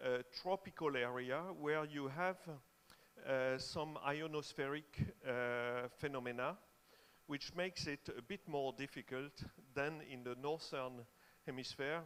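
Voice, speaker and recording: At a fairly slow pace, a man talks with fairly high pitch and fairly even intonation. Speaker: aviation data expert presenting at workshop. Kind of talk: conference presentation. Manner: hesitant, many fillers.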